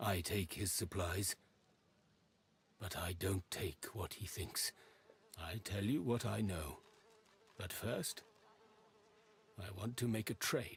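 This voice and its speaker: Putting on a character voice, a man with a fairly low pitch speaks at a fairly slow pace, leaving long, frequent pauses. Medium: video game. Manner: halting, evasive, odd phrasing.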